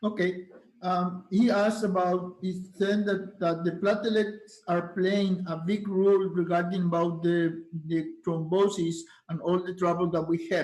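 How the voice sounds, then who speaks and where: A high-pitched male voice with a Spanish accent, monotone and flat in intonation, with audible room echo. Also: fairly slow pace. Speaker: doctor, moderator and interpreter. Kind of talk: interpreting at medical conference.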